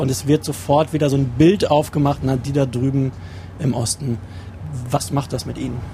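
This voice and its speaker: A man's normal speaking voice, fairly high in pitch, with ordinary variation in pitch. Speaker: journalist, regional studio head. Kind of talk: interview. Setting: in a bus and outdoors.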